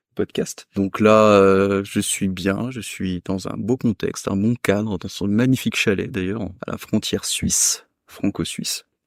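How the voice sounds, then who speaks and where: A man with an unremarkable speaking voice talks at a fairly slow pace and fairly low pitch, with fairly even intonation. The recording is very clean, with a silent background and a dry, close sound with no echo. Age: 30s. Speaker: restaurant worker. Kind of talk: casual chat. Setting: chalet on Franco-Swiss border.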